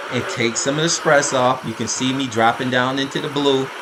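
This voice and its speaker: A man speaks at medium pitch in a monotone, flat intonation. Audible room echo and noticeable background noise surround him. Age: 60s. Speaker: amateur cyclist and triathlete, race commentary vlogger. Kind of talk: race recap commentary over video. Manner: casual, conversational with fillers.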